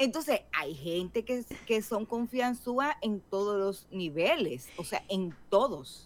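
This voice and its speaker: Over noticeable background noise, a woman of medium pitch speaks very slowly with very wide pitch swings. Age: 50s. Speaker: podcast co-host. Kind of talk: casual chat.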